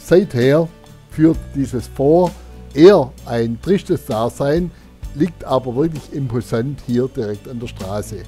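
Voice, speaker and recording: With music in the background, a man with a Swabian accent speaks at a very slow pace in a medium pitch with lively intonation. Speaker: motorcycle tourer. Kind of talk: casual talk to camera while riding. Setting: outdoors, helmet intercom mic.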